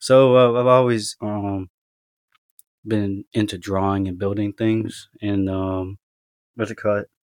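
A man with an American accent speaks in a fairly low, monotone, flat voice with long, frequent pauses. The sound is dry and close with no echo, and the background is quiet. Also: fairly slow pace. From US mainland, Tennessee and elsewhere. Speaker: military service member and adoptee. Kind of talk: interview about personal story. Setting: podcast interview. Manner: casual, hesitant with fillers.

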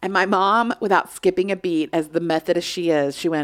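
A woman's fairly low voice at a moderate pace, a plain, everyday voice. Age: 40s. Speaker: podcast host. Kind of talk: casual chat.

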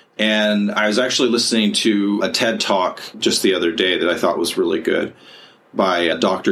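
At a moderate pace, the speaker uses a normal speaking voice. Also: man. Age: 40s. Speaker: podcast host and counselor. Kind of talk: casual chat.

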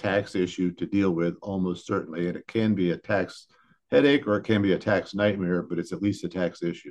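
In a Midwestern American accent, a man speaks at a fairly low pitch and a moderate pace with ordinary pitch variation, against a quiet background. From Northeast Ohio, US. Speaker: business lawyer. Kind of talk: interview.

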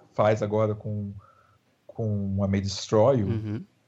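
At medium pitch, a man speaks in a somewhat breathy voice. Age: 30s. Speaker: screenwriter. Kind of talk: interview.

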